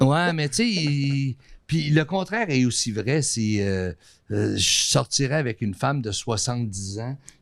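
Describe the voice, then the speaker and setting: On a very clean recording with a silent background, a man with an unremarkable speaking voice, medium pitch and lively intonation speaks at a fairly slow pace. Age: 60s. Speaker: artist and TV station manager. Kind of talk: casual chat.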